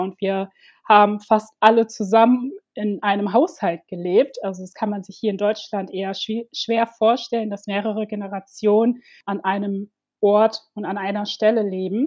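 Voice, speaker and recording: At a moderate pace, a woman with a normal speaking voice talks in a fairly high pitch with fairly even intonation. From Ivory Coast, Germany from age six. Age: 30s. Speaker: domestic violence survivor and activist. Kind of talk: personal testimony in interview.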